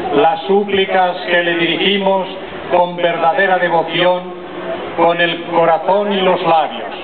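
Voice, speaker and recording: A man talks very slowly while loud background noise plays. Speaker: bishop leading prayer. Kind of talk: read liturgical prayer. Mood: solemn devout. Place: street. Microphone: pa.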